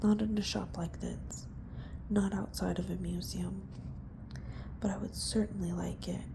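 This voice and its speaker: The speaker is soft-spoken and whispering. The pace is moderate. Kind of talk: audiobook-style reading of a novel. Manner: soft-spoken, whispered.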